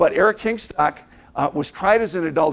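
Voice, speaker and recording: A man's high voice in an Upper Midwest accent, animated and fairly quick, with lively intonation. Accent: Upper Midwest American. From Minnesota, Minneapolis. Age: 60s. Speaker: motivational speaker. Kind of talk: keynote speech to an audience. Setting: stage with audience.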